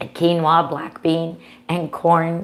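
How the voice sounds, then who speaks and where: A woman's fairly low voice at a very slow pace, over noticeable background noise. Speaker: cooking channel host. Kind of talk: live cooking show. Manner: casual, chatty.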